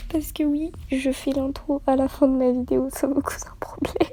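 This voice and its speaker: A woman speaks in a soft-spoken way. Noticeable background noise runs behind her. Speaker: youtuber. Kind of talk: casual vlog intro.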